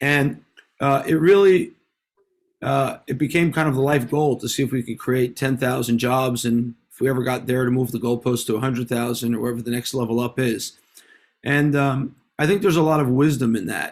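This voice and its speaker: A man with a New York accent talks at a fairly quick pace. His pitch is medium, with ordinary pitch variation. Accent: American (New York). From US, New York City (Manhattan). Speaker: venture capitalist and author. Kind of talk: interview. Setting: video call.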